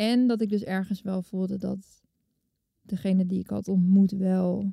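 Somewhat breathy and dark, mellow in tone, a woman speaks at medium pitch and a fairly slow pace in a dry, close sound with no echo. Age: 30s. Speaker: television maker. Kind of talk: personal testimony interview.

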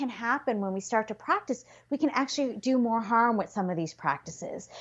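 A woman with a Canadian accent, lively intonation and a moderate pace. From Canada. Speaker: physician and yoga therapist. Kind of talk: interview conversation.

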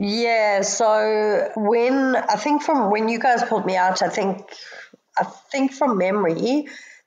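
Loudness stays very even throughout. The pace is very slow, with ordinary pitch variation. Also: woman, fairly high pitch for a woman. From South Africa, Johannesburg. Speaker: drowning survivor. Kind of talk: personal story in interview.

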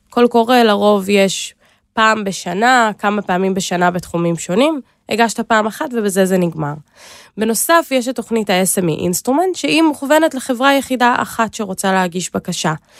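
A woman with a plain, everyday voice and a fairly high pitch talks at a moderate pace with lively intonation, in a dry, close sound with no echo on a very clean recording with a silent background. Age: 20s. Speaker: government innovation agency program manager. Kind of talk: interview.

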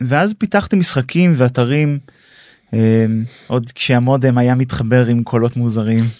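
A man's dark, mellow voice at a medium pitch, fairly slow pace, in a very clean recording with a silent background. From Israel. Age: 30s. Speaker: tech startup co-founder and CTO. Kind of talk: podcast interview. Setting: studio.

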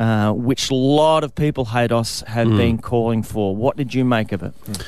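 A man with an Australian accent talks at a moderate pace and medium pitch, with ordinary pitch variation. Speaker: radio host. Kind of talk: casual chat; news reading.

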